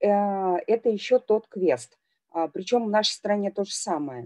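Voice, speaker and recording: Over a quiet background, a woman speaks very slowly in a dark, mellow tone with ordinary pitch variation. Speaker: deputy general director and lecturer; webinar speaker. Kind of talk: webinar talk. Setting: video call. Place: home room. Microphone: headset.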